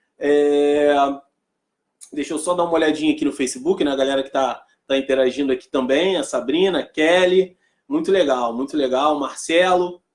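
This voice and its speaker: A man's voice, pitched fairly high for him, moves along at a moderate pace. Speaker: motivational speaker. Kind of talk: live stream talk. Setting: live stream. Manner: animated.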